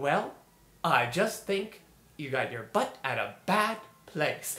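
This is a cartoonish character voice at a middle pitch. It goes at a fairly slow pace. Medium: puppet show.

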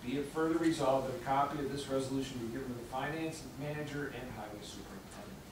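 A man talks at a very fast pace with hardly any pauses and fairly even intonation. Audible room echo and noticeable background noise are present. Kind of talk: formal reading of resolution. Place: meeting room.

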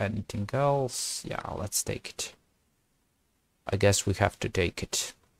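Quiet and fairly low-pitched, a man's voice comes across dry, with no echo. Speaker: chess streamer. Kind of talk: gameplay commentary. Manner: halting.

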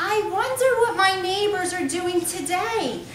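A woman's put-on character voice, extremely high-pitched, with lively intonation and a fairly slow pace, plus slight echo and clear background noise. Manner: mocking, exaggerated.

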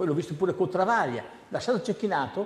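A man is speaking over light background noise. Audible room echo is present. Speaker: tennis coach. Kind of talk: TV studio interview. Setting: TV studio. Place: studio.

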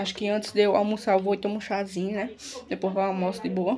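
Light background noise sits behind the speaker. A woman talks at a moderate pace. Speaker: vlogger. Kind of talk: casual vlog chat. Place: home room. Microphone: phone near.

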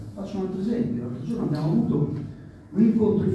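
Male speech with very wide pitch swings, strong room echo and light background noise. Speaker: factory worker activist. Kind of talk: panel discussion. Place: hall.

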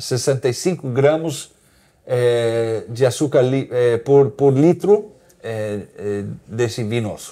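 A man's medium-pitched, dark, mellow voice at a very slow pace, with ordinary pitch variation. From Argentina, raised partly in Brazil and the US. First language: English and Portuguese (bilingual) (speaking Portuguese). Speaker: winery CEO. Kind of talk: casual interview about wine. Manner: halting, with many hesitations.

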